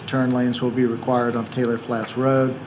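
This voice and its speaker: Over noticeable background noise and audible room echo, a man with a medium pitch speaks at a fairly quick pace in a monotone, flat intonation. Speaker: county planning staff. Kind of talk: staff report presentation at public hearing. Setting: county commission meeting chamber. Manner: soft-spoken; hesitant, many ums. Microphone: too quiet, hard to hear.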